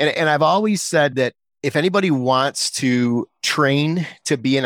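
With a dry, close sound and no echo, a man speaks in a fairly high pitch with ordinary pitch variation on a very clean recording with a silent background. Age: 50s. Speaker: business executive. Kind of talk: interview. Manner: halting.

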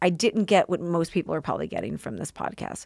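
A woman's very deep, low voice with vocal fry, an American accent and a very fast pace, recorded dry and close with no echo against a silent background. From US Midwest (St. Louis). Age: 40s. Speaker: podcast producer and host. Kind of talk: casual interview chat.

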